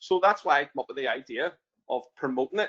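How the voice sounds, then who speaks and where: With an Irish accent and a bright, sharp tone, a man speaks at a fairly quick pace with ordinary pitch variation, the sound dry and close with no echo. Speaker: barber and prison volunteer trainer. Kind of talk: webinar interview. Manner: halting, many fillers.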